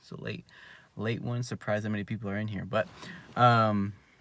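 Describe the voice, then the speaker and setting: A man speaks quietly in a bright, sharp tone. His pace is fairly quick, and the recording is very clean with a silent background. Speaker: youtuber, jumping and dunking coach. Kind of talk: casual live stream monologue. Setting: in a car. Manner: halting, many fillers.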